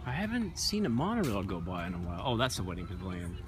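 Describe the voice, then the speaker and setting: A man's very deep, low voice at a moderate pace, dry with no echo, with clear music in the background. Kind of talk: casual vlog chat. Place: street. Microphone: phone near.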